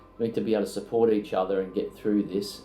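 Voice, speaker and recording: With music in the background and audible room echo, a man with an Australian accent speaks in a monotone, flat intonation. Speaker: accountancy firm founder. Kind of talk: interview testimonial. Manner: hesitant, many fillers.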